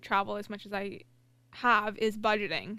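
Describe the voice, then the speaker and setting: Bright and sharp in tone, a woman talks at a moderate pace. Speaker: engineer. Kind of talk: casual chat.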